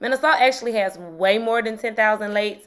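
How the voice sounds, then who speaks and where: A woman talks very fast with a strong Mississippi accent, a fairly high pitch and an animated tone. The recording is very clean with a silent background. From Mississippi, US South. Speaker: history teacher and YouTuber. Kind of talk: casual educational video.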